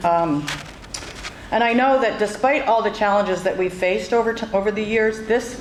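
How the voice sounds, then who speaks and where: Speaking with an American accent, a woman talks at a moderate pace and medium pitch with ordinary pitch variation. The recording has noticeable background noise and audible room echo. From western Massachusetts, Northampton. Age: 60s. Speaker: campaign supporter. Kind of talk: public speech.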